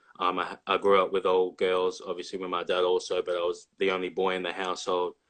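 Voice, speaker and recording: A man with an Australian accent talks at a very fast pace. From Australia, Victoria (near Melbourne). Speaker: college basketball player. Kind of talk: casual interview.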